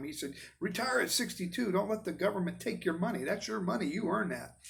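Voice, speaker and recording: Pitched high, a man speaks with lively intonation. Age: 60s. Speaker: vlogger and car builder. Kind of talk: casual vlog monologue. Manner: rambling, halting.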